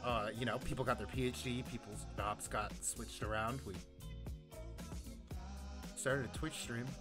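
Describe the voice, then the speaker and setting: A man speaking with long, frequent pauses, over clear music in the background. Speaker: podcast host. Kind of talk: casual talk to camera. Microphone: studio mic.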